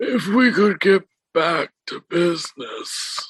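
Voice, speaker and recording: Very slowly, a man puts on a raspy, high-pitched character voice, recorded dry and close with no echo. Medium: actual play. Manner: grave, commanding.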